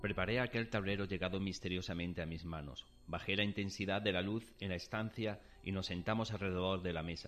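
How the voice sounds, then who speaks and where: Music sits in the background as a man speaks at a fairly quick pace. His very deep, low pitch stays fairly even in intonation. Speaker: dramatized story narrator (voice actor). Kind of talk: dramatized ghost story, first-person narration. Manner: tense, suspenseful, hushed then startled; dramatic, vivid, building dread.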